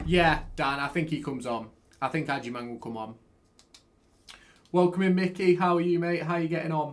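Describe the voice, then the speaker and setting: Talking at a fairly quick pace with an East Midlands accent, a man with a fairly high pitch uses ordinary pitch variation and leaves long, frequent pauses. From England, Derby. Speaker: football fan streamer. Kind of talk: live watchalong commentary and chat-reading. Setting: live stream with webcam. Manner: animated.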